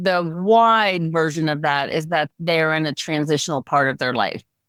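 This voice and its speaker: A woman with an unremarkable speaking voice and fairly low pitch talks at a fairly slow pace in a very clean recording with a silent background. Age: 60s. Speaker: aspiring speaker and life coach for women. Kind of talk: coaching session.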